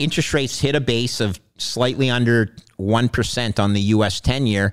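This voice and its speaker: In a very clean recording with a silent background, a man talks with a Canadian accent. He has an ordinary speaking voice with ordinary pitch variation. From Canada, Montreal. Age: 50s. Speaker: retired bond trader. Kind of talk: interview conversation. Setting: studio.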